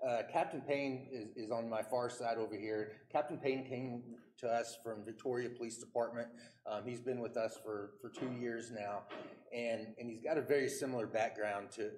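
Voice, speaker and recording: A man at a moderate pace with fairly even intonation, over light background noise. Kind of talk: formal recognition speech. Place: hall.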